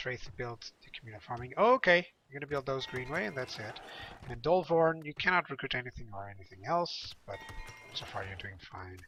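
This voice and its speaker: A man speaks at a medium pitch with a fairly quick pace and lively intonation. His loudness swings widely, and music plays in the background. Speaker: gaming youtuber. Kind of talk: gameplay commentary. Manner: casual.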